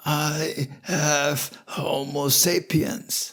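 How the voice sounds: A man puts on a croaky, hoarse, raspy character voice, fairly high-pitched with fairly even intonation.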